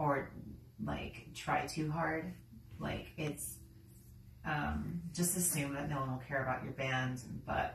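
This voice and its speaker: Over light background noise and audible room echo, a woman speaks at a very slow pace with long, frequent pauses. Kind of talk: casual vlog chat. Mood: relaxed, reflective. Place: home room. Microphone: camera far.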